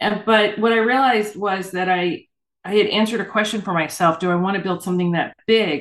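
A woman with an unremarkable speaking voice talks at a fairly quick pace, her medium pitch showing ordinary variation. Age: 60s. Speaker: urban fantasy author. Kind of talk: interview.

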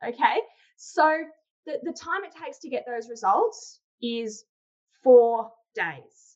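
Delivered at a very slow pace in an Australian accent, the speech has long, frequent pauses. Both pitch and loudness swing widely. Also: woman, high pitch for a woman. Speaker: sales trainer and founder. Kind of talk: interview conversation.

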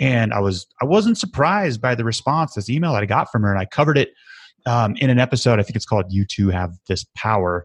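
In a dry, close sound with no echo, a man talks at a very fast pace with ordinary pitch variation. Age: 30s. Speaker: podcast host and recovery advocate. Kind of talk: casual interview.

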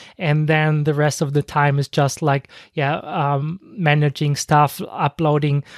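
A non-native accent at a fairly slow pace on a very clean recording with a silent background. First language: not English. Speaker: podcast host, online marketer. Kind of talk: unscripted solo podcast monologue. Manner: halting, many fillers.

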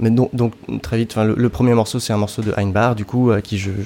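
Against noticeable background noise, a man keeps a fairly even intonation at a fairly quick pace. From France, southern Brittany. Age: 30s. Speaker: electronic music composer and sound designer. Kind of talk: interview. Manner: halting.

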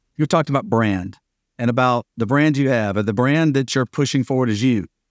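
A man with a plain, everyday voice talks at a fairly quick pace and medium pitch with ordinary pitch variation. The recording is very clean and dry, with a close sound, no echo and a silent background. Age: 50s. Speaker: podcast host. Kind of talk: interview.

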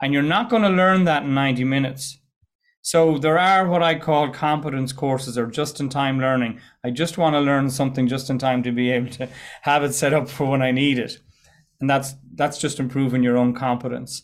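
Fairly high-pitched for a man, his voice moves at a fairly quick pace with fairly even intonation. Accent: Irish. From west of Ireland. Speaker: entrepreneur and presentation coach. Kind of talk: casual interview chat. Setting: video call.

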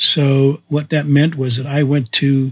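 Somewhat breathy, a man talks at a fairly slow pace and a fairly high pitch, in a dry, close sound with no echo. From Canada. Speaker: photographer and podcast host. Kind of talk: autobiographical storytelling monologue.

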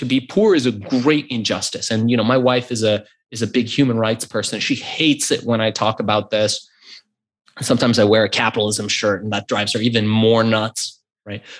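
On a very clean recording with a silent background, a man at medium pitch speaks at a fairly quick pace. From US, Iranian immigrant family. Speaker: e-commerce entrepreneur. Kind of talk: interview. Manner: animated.

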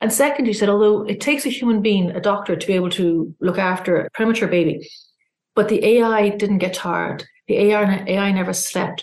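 Here is a woman with an Irish accent. Her pitch is medium and her pace fairly quick. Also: ordinary pitch variation. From Ireland. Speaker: journalist and publication founder. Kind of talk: interview.

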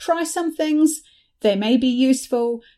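A woman with a New Zealand accent speaks in a high pitch at a moderate pace. Her intonation is lively and her tone dark and mellow. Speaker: facilitator and business founder. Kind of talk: interview conversation.

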